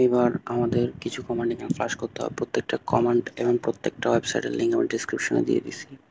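Noticeable background noise behind a man's voice, the sound dry and close with no echo. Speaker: tech tutorial creator. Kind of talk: screen-recorded tech tutorial narration. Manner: casual, explanatory.

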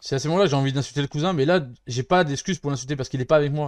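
Very fast speech from a man against a quiet background. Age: 30s. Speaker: gaming streamer; streamer. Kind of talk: let's play commentary. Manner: casual, hesitant with many fillers. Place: home room.

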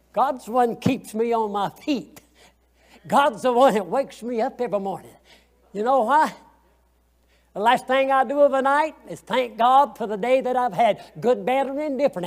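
Speaking in a Southern US accent, a man has an extremely high pitch with ordinary pitch variation. He keeps a moderate pace with long, frequent pauses against a quiet background. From US South. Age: 80s. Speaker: Sunday school teacher. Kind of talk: Sunday school Bible lesson. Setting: church. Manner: folksy, conversational; halting, repeats words. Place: church.

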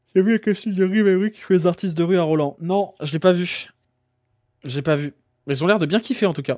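A man with a high-pitched voice talks at a fairly quick pace, broken by long, frequent pauses, over a quiet background. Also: ordinary pitch variation. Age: 30s. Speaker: streamer. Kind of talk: casual chat. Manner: animated. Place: home room. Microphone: studio mic.

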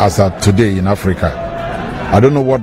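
Clear music plays behind a man whose voice has a dry sound with no echo. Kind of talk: press statement to reporters. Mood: proud, assertive. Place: street. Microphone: handheld.

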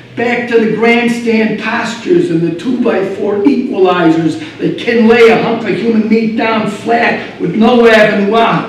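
A man at a fairly slow pace with hardly any pauses and ordinary pitch variation, plus audible room echo and light background noise. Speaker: slam poet. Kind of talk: live slam poetry performance. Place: stage.

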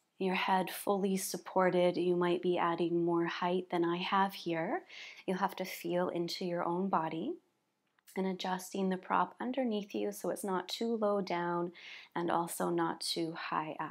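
A woman's fairly low voice, fairly slow and fairly even in intonation, over a quiet background. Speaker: yoga teacher. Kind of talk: guided yoga instruction. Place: home room.

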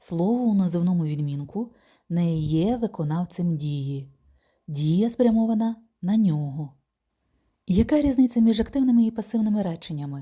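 In a very clean recording with a silent background, a woman with a medium-pitched, somewhat breathy voice and a dark, mellow tone makes very wide pitch swings and leaves long, frequent pauses. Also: moderate pace. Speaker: German language teacher. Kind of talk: tutorial.

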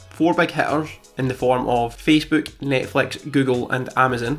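A man speaks in a monotone, flat intonation. Faint music plays in the background. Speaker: finance youtuber. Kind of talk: portfolio update vlog. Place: home room. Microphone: studio mic.

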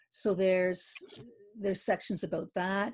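A woman with a Canadian accent against a quiet background. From Eastern Canada, Quebec near Ottawa. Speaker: poet and novelist; poet. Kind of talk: interview. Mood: warm, reflective about grief. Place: home room. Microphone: video call.

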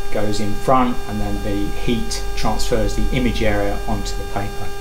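Noticeable background noise sits behind the voice. A man talks at a fairly slow pace. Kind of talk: guided tour explanation. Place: workshop. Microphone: camera far.

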